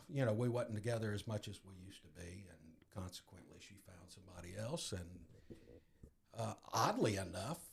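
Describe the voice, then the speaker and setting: A man with an American accent sounds somewhat breathy, with ordinary pitch variation. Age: 60s. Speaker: guest in recovery. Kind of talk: testimony.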